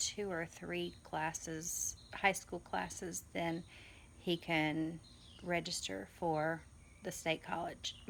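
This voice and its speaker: A woman with an American accent speaks very slowly in a fairly low voice with vocal fry. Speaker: homeschooling mother, vlogger. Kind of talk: casual vlog. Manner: hesitant, many fillers.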